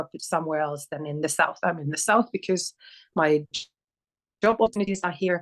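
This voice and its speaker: A woman with a Finnish accent talks at a fairly quick pace with ordinary pitch variation in a dry, close sound with no echo. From northern Finland, near Oulu. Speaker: sociologist, PhD researcher. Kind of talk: interview. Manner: halting.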